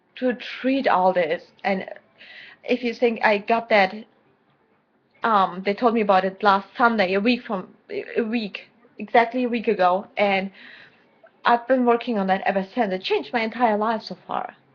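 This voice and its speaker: Fairly high female voice in a German accent, moderate in pace with ordinary pitch variation and long, frequent pauses. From Germany. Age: 20s. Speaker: vlogger. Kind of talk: personal video diary. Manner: halting.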